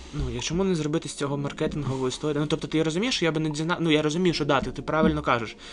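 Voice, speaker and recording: Over noticeable background noise, a man rattles on at a very fast pace with hardly any pauses and fairly even intonation. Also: fairly high pitch for a man. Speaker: podcast host. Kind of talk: casual chat. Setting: museum library.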